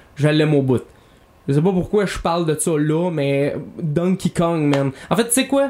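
With a Quebec accent, a man talks at a moderate pace in a fairly high pitch, his dark, mellow tone carrying ordinary pitch variation. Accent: Québécois French. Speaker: podcast host. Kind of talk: casual chat while playing video games.

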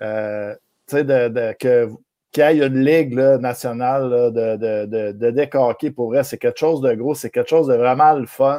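Someone with a plain, everyday voice talks at a fairly slow pace with fairly even intonation. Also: man, medium pitch for a man. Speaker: hockey podcast host. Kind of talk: casual chat.

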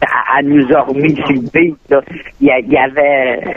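A man's fairly high-pitched voice with fairly even intonation, plus noticeable background noise. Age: 60s. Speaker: local resident who knew the poutine inventor. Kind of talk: casual interview. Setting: phone call.

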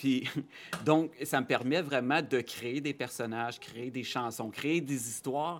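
A man speaks at a very slow pace with fairly even intonation and a medium pitch. The recording is very clean, with a silent background. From Quebec, Abitibi (Rouyn-Noranda area). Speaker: children's TV host and psychoeducator. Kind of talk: casual interview.

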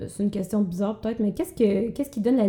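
A woman speaks at a medium pitch with fairly even intonation. Her tone is dark and mellow, and somewhat breathy. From Quebec, Abitibi. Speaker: podcast host, comedian. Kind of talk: casual chat.

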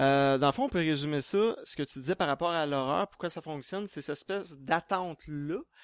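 In a normal speaking voice with ordinary pitch variation, the speech moves at a fairly quick pace with hardly any pauses, in a very clean recording with a silent background and a dry, close sound with no echo. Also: man, fairly high pitch for a man. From Quebec. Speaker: horror novelist. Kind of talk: panel discussion.

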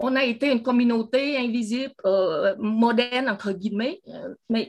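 A woman with a high pitch and ordinary pitch variation talks at a fairly slow pace. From Vietnam. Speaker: audience member. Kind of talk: testimony. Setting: video call.

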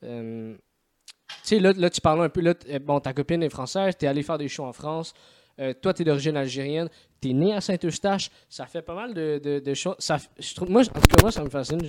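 The speech comes in a Quebec accent at a fairly quick pace, with big swings in loudness and long, frequent pauses. The sound is dry and close, with no echo. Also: man, fairly high pitch for a man, ordinary pitch variation. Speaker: podcast host. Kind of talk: casual chat. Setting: remote call.

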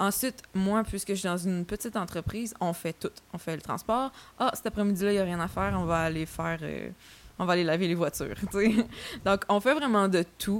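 A woman talks at a fairly quick pace with a Quebec accent. Her pitch is medium, with ordinary variation. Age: 20s. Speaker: podcast host and funeral professional. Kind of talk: casual chat.

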